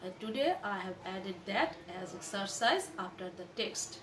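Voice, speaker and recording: There is light background noise behind a woman. She talks at a fairly slow pace with ordinary pitch variation. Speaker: college lecturer. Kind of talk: lecture. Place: home room. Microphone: phone near.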